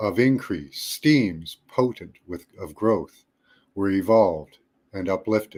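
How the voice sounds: The speaker uses a natural reading voice with ordinary pitch variation against a quiet background.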